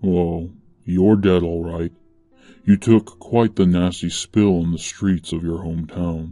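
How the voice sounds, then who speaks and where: Over faint music in the background, a soft-spoken man uses a put-on character voice with a very deep, low pitch at a fairly slow pace. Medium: read story. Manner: calm, plain, faintly amused.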